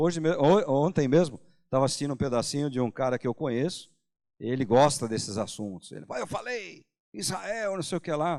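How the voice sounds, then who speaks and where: A man talks at a fairly quick pace with a fairly high pitch and lively intonation. The recording is very clean, with a silent background. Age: 60s. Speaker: pastor. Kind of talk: sermon. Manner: casual, conversational with hesitations.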